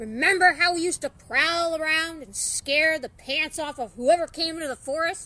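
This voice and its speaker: A woman's put-on character voice, extremely high-pitched, at a moderate pace with hardly any pauses. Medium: read story.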